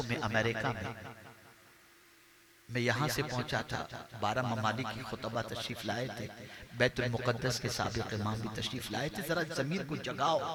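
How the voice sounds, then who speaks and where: Noticeable background noise and audible room echo surround the recording. A man speaks at a medium pitch with ordinary pitch variation. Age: 60s. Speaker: Islamic preacher. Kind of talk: sermon. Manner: animated.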